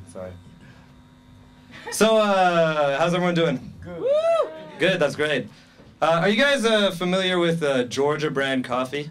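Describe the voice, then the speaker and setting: A man with a high voice speaks at a fairly slow pace with lively intonation. His tone is nervous, and he leaves long, frequent pauses. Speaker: stand-up comedian. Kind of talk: stand-up comedy set for a live club audience. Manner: nervous, awkward.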